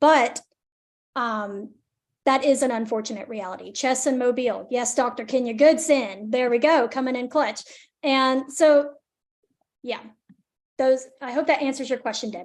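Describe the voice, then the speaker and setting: A woman with a Southern US accent talks at a moderate pace in a high pitch, with ordinary pitch variation and long, frequent pauses. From northern Alabama, near Decatur. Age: 20s. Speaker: environmental justice advocate, presenter. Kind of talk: webinar Q&A. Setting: video call, live streamed.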